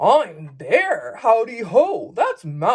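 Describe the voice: This is plain reading aloud.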